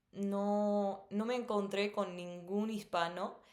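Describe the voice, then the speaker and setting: A woman talks at a medium pitch. Audible room echo surrounds her voice. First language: English (speaking Spanish). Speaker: missionary and language teacher vlogger. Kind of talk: personal storytelling. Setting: recording at home at night. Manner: many filler sounds.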